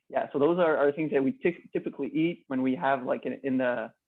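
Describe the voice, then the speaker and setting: This man speaks with a Quebec accent at a fairly high pitch. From Quebec, Canada. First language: French. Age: 20s. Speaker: customer sharing experience. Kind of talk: casual interview chat. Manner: halting.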